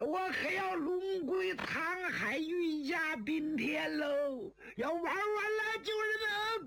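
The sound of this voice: In a put-on character voice, a man speaks slowly at an extremely high, shrill pitch, his tone bright and sharp with vocal fry and ordinary pitch variation, in a room with audible echo.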